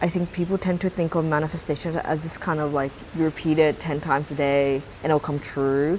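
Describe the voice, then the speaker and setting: A woman with an Australian accent and a very deep, low pitch talks at a fairly quick pace in a monotone, flat intonation. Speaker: YouTuber. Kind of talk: vlog monologue. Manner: casual, filler-heavy.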